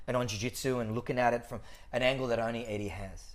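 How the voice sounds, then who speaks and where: Very fast speech comes from a man. He has an Australian accent. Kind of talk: casual chat. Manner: animated.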